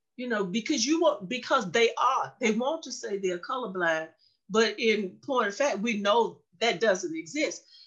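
With a normal speaking voice, a woman talks at a moderate pace in a fairly high pitch with lively intonation. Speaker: education professor. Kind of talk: interview. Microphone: connection freezing.

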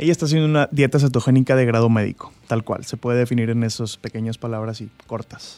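A man at a very fast pace with hardly any pauses, medium pitch, fairly even intonation and a dark, mellow tone, in a dry, close sound with no echo. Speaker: doctor. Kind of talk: explanatory interview.

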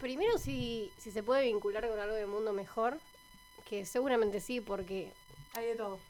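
A woman's fairly high voice at a moderate pace, ordinary pitch variation, music in the background. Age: 20s. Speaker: scout program coordinator. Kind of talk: radio interview.

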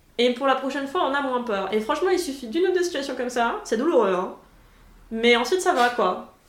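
A woman's high voice at a fairly quick pace with very wide pitch swings, amid audible room echo and noticeable background noise. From France (Paris). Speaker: podcast host, former master's student. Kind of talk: casual chat.

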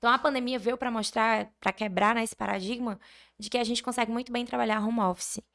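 It is an ordinary speaking voice with ordinary pitch variation. The recording is very clean, with a silent background. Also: woman. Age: 20s. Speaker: architect and online course creator. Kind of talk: casual interview.

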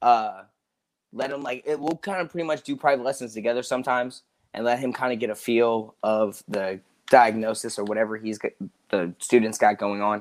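A man talks in a plain, everyday voice at medium pitch. He goes at a fairly quick pace with ordinary pitch variation. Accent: American. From US South, Georgia. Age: 20s. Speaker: martial arts instructor. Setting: video call.

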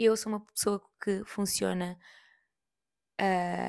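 A woman speaks very slowly with a European Portuguese accent. The recording is very clean with a silent background. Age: 30s. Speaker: podcast host. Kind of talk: casual monologue.

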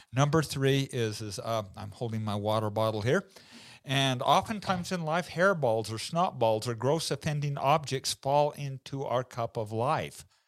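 A man talks at a moderate pace in a plain, everyday voice. His pitch is medium, and the recording is very clean with a silent background. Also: lively intonation. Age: 50s. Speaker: entrepreneur and family legacy speaker. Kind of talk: interview.

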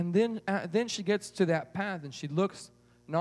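An unforced reading voice, with ordinary pitch variation

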